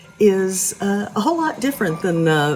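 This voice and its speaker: With music in the background, a woman with an American accent speaks at a moderate pace. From Oklahoma. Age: 70s. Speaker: podcast host, cannabis educator. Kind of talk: casual educational talk. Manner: warm, folksy.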